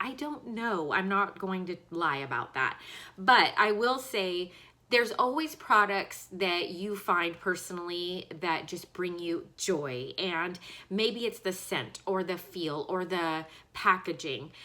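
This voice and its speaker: A woman with a medium-pitched voice and a bright, sharp tone speaks at a very slow pace with lively intonation. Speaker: beauty vlogger. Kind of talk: casual product review. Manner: casual, filler-heavy.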